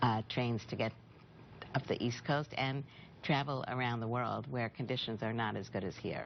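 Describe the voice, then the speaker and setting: The woman's pitch is very deep and low, with fairly even intonation. She talks at a moderate pace. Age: 60s. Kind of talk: TV news interview.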